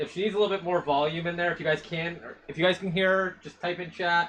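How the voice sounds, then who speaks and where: A man speaks loudly in a high pitch with fairly even intonation. Noticeable background noise runs behind him. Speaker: co-host of dyeing stream. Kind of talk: casual live stream chat. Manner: stammering repetitions.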